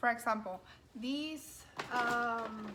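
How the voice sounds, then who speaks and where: A woman speaks with a strong non-native accent. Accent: strong foreign. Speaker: lifestyle coordinator. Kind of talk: cooking tutorial. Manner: hesitant, many fillers.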